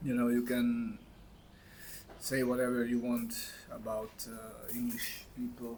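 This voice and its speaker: Room echo is audible as a man delivers his words fairly slowly. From Hungary. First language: Hungarian. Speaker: vlogger. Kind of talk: casual monologue to camera. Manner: halting, many fillers.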